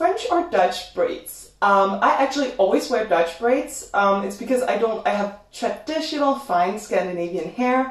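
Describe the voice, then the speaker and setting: A woman's voice swings very widely in pitch at a moderate pace, with audible room echo and noticeable background noise. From Denmark. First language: Danish. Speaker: YouTuber. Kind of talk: livestream Q&A chat. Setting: home livestream.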